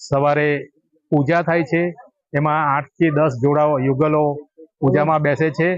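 A man's plain, everyday voice, fairly high in pitch with fairly even intonation. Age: 50s. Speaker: local devotee. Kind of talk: interview statement.

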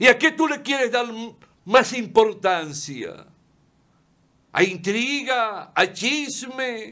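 A man's extremely high, bright, sharp voice, raised and projected, with lively intonation, a very slow pace and long, frequent pauses against a quiet background. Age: 70s. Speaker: lawyer and TV commentator; lawyer, TV commentator. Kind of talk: opinion monologue. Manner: impassioned. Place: studio.

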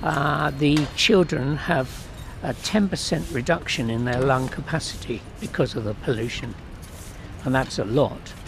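A man at medium pitch, with lively intonation and a fairly slow pace, against noticeable background noise. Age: 70s. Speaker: protester, retired professor. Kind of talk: interview. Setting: outdoors. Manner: halting.

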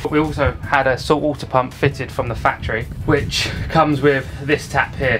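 Clear music plays behind the voice. The speaker is a man. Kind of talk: casual vlog tour. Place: boat. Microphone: phone near.

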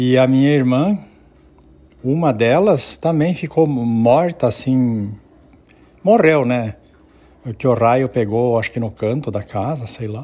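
The recording is very clean, with a silent background, as a man speaks at a very slow pace with long, frequent pauses. His voice sits at a medium pitch and has a dark, mellow tone. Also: ordinary pitch variation. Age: 60s. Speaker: family storyteller. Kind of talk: personal storytelling. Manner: halting.

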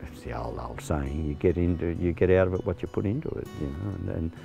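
A man with an Australian accent and a very deep, low voice talks fairly quickly with lively intonation. Clear music plays in the background, and the sound is dry with no echo. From Central West New South Wales, Australia. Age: 60s. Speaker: retired farmer, farm manager. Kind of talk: interview answer. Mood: calm, reflective. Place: open country.

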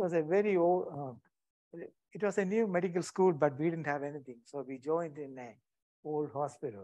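Speaking at a fairly quick pace in an Indian accent, this man has a fairly high pitch, ordinary pitch variation, a dark, mellow tone and big swings in loudness. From India, Kerala. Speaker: retired anaesthetist. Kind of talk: lecture. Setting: stage with audience. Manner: halting.

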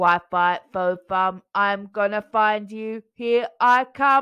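In a loud, robotic put-on character voice, a woman speaks at a very slow pace in a medium pitch. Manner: loud, menacing.

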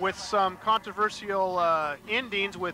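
Raised, projected man's voice, high in pitch, fairly even in intonation, at a moderate pace with music in the background. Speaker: wrestling co-commentator and ring announcer. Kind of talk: live wrestling commentary, ring announcing.

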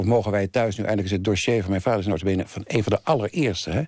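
A man's fairly low-pitched voice at a very fast pace with fairly even intonation, on a very clean recording with a silent background. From Netherlands, The Hague. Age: 70s. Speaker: thriller writer. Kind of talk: interview.

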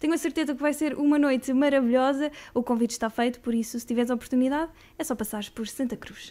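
Very fast and high-pitched, a woman speaks in a dark, mellow tone with fairly even intonation. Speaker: radio host. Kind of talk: interview, casual chat. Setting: studio. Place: studio. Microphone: studio mic.

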